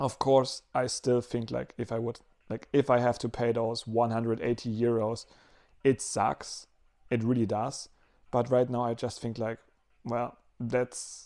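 The tone is dark and mellow, with monotone, flat intonation. The background is quiet. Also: man. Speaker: vlogger. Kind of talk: casual vlog chat. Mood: mildly frustrated then relieved. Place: home room. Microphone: lapel.

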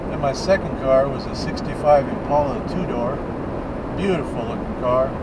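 Loud background noise surrounds a man whose pitch varies in an ordinary way. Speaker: driver vlogger. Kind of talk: casual vlog chat. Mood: relaxed storytelling. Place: car. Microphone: camera far.

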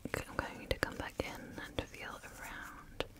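The voice is whispering. It goes at a very slow pace. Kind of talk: ASMR role-play instructions. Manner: soft, hushed ASMR voice. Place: home room.

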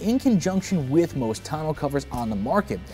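A man talks at a fairly quick pace, with faint music in the background. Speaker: product reviewer. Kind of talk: product review presentation. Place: garage.

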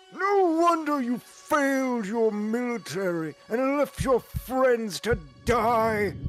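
Speaking at a very slow pace with an extremely high pitch, a man is heard over clear music in the background. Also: lively intonation. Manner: cutting, accusatory.

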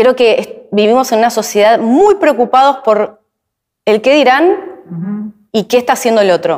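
The speaker talks at a fairly slow pace with a Rioplatense accent and lively intonation. The background is quiet. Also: woman. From Argentina. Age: 40s. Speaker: YouTuber and actress; YouTuber, actress. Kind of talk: interview. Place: studio.

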